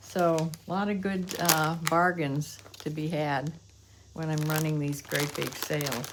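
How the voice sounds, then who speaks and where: Over noticeable background noise and audible room echo, a woman with a very deep, low pitch speaks at a fairly slow pace with fairly even intonation. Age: 80s+. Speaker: online reseller. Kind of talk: casual vlog show-and-tell. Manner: halting, with frequent fillers.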